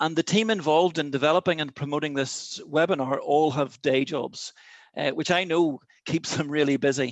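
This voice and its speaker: In an Irish accent, the speaker talks at a fairly quick pace with fairly even intonation in a dry, close sound with no echo and a quiet background. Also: man. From Ireland. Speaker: chairman of an outdoor sports network, webinar host. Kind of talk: webinar opening address. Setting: video call.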